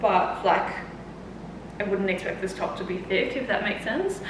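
The room echo is audible. Noticeable background noise runs underneath. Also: woman. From Australia. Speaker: fitness coach and YouTuber. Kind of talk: try-on haul vlog. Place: home room. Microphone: camera far.

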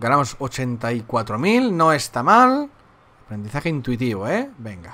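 A man's medium-pitched voice, very slow in pace, with lively intonation. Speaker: gaming youtuber. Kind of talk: gameplay commentary. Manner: casual, halting.

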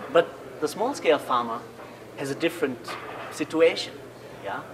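A man is speaking. Noticeable background noise comes through. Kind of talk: interview explanation. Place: cafe. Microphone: camera far.

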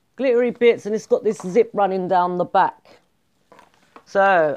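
A woman's speech at a moderate pace, with ordinary pitch variation. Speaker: haul vlogger. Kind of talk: casual vlog chat. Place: home room. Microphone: earbuds.

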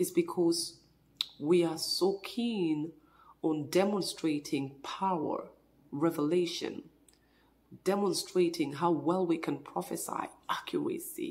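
Each word comes slowly, at a very slow pace, from a woman. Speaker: preacher. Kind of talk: sermon. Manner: fervent, earnest preaching; prayerful, hesitant with filler words. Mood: earnest, exhorting. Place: home room. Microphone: phone near.

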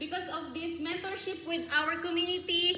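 A woman's extremely high voice is raised and projected, with a bright, sharp, animated tone. Audible room echo surrounds it. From Philippines, Palawan. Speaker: network marketing member. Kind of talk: testimony.

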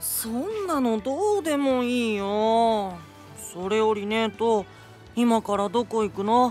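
A loud, whiny put-on character voice from a woman, fairly high-pitched and fairly slow, whiny in tone, with clear music in the background. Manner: whiny, loud.

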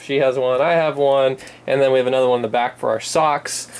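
The pace is fairly quick. The speaker is a man. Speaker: vlogger. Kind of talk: casual vlog chat. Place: home room. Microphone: phone near.

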